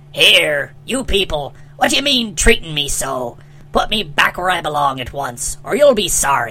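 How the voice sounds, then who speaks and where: At a moderate pace and middle pitch, a put-on character voice comes through over light background noise. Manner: angry, threatening.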